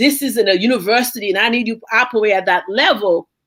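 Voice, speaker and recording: Animated in tone, a woman with a Haitian accent speaks at a fairly high pitch and a fairly quick pace with ordinary pitch variation. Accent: Haitian Caribbean. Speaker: university professor. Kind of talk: panel discussion.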